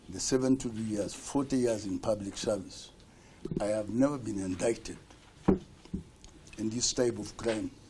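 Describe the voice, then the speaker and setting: With audible room echo, a man talks at a moderate pace in a fairly low voice with fairly even intonation. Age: 70s. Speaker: accused person testifying in court. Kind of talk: court testimony. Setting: courtroom.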